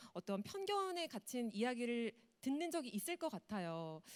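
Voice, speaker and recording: A woman's fairly high voice, fairly slow, with very wide pitch swings and a dry, close sound with no echo. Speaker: moderator, TV announcer. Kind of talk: panel moderation.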